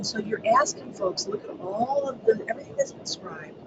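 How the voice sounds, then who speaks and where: Noticeable background noise accompanies talking at a fairly quick pace. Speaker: education webinar presenter. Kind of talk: webinar presentation. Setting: online webinar. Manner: hesitant, many ums. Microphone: too quiet, listeners had trouble hearing.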